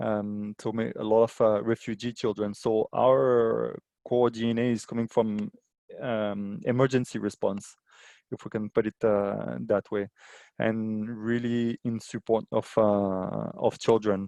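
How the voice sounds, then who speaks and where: A man's fairly low, dark, mellow voice, monotone and flat, at a fairly slow pace, with a dry, close sound with no echo and a quiet background. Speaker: aid organisation water and sanitation specialist. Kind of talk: webinar presentation. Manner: halting, many fillers.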